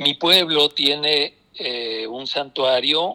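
A man talks in a medium pitch with ordinary pitch variation. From Mexico, southern Nayarit near Jalisco. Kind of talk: interview.

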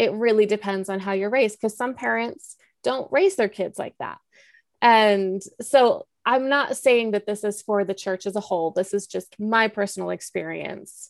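A woman has a plain, everyday voice, speaking at a moderate pace with ordinary pitch variation. The sound is dry and close, with no echo. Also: medium pitch for a woman. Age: 30s. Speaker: podcaster, former church member. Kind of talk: interview.

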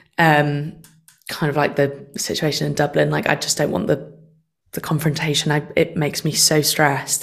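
Her pitch very deep and low, a woman speaks with vocal fry and fairly even intonation. She keeps to a moderate pace. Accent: Mancunian. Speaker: session singer. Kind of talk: casual chat.

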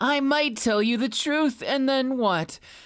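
A woman's animated, playful voice at a fairly slow pace, on a very clean recording with a silent background. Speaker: ASMR voice actor playing a character. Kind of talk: scripted roleplay ASMR, in-character flirtatious monologue to the listener. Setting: close-mic ASMR, addressing the listener. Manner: mocking, flirty, animated with frequent laughs.

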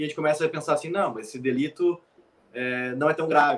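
This is a man's voice, fairly high in pitch. It is an unremarkable speaking voice. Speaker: military firefighter. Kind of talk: casual chat.

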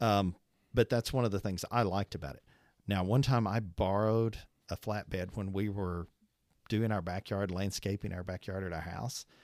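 A man with an American accent speaks at a moderate pace and in a fairly even intonation, recorded dry and close with no echo, very clean against a silent background. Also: fairly low pitch for a man. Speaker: trucking business owner. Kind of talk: casual chat.

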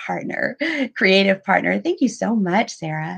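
Over a quiet background, a woman speaks in a somewhat breathy voice with an American accent. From US South (Pensacola, Florida). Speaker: podcast host, writing coach. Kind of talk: interview.

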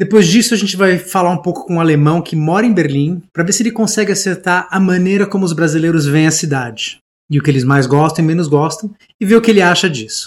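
This man speaks at a very fast pace, his high pitch showing ordinary variation. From Brazil. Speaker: podcast host. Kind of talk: podcast narration and interview.

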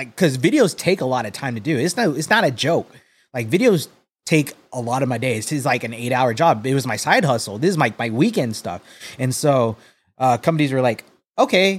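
In a normal speaking voice with lively intonation, the speaker goes at a fairly quick pace on a very clean recording with a silent background. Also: man, medium pitch for a man. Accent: American. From Texas, San Antonio. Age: 30s. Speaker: sneaker content creator. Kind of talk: casual chat.

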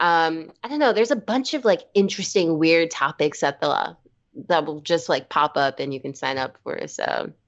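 With an American accent and a normal speaking voice, a woman talks at a moderate pace, her fairly low pitch carried by lively intonation. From New York City, Brooklyn. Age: 20s. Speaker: musician. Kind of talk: casual chat.

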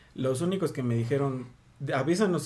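A man's dark, mellow tone with a Mexican accent, ordinary pitch variation and audible room echo. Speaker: podcast co-host. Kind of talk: casual chat.

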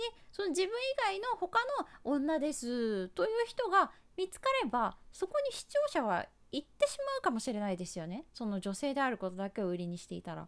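A woman's high voice at a moderate pace, with very wide pitch swings and big swings in loudness. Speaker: YouTube advisor and pro gamer. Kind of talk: advice monologue. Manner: casual with many fillers.

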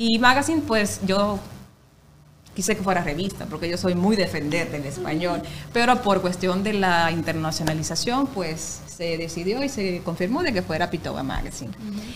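Over noticeable background noise and audible room echo, a woman speaks at a moderate pace with a fairly low pitch and lively intonation. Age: 30s. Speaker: radio announcer and actress. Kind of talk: casual chat.

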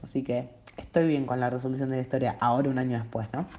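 Dark and mellow in tone, a woman's voice sits very deep and low in pitch. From Latin America. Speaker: musical theatre fan. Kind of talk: testimony.

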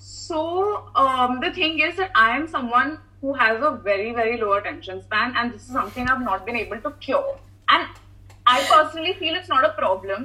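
Raising and projecting her high voice, a woman with a bright, sharp tone swings very widely in pitch at a moderate pace. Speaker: content creator. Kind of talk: casual interview.

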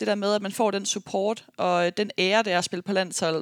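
A woman with a medium pitch talks at a moderate pace. The recording is very clean with a silent background and a dry, close sound with no echo. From Denmark, Aarhus. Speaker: professional basketball player and podcast host. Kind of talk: casual monologue podcast. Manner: frequent filler hesitations.

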